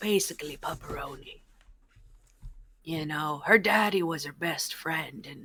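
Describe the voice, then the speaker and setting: Putting on a character voice, a woman speaks in a very deep, low pitch at a moderate pace with long, frequent pauses. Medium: actual play. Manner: rambling, gossipy.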